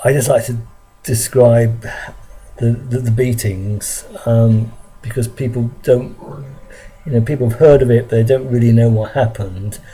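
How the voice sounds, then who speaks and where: A man with a London accent speaks in a monotone, flat way, leaving long, frequent pauses. Music plays in the background. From London, England. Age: 60s. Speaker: vlogger recounting childhood memories. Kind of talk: personal testimony monologue. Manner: halting, many fillers and repetitions.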